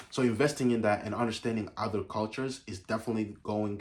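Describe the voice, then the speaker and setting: Somewhat breathy speech at a fairly quick pace. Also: man. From Uganda. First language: Ugandan mother language. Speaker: YouTuber. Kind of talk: casual vlog talk. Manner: halting, many fillers and restarts.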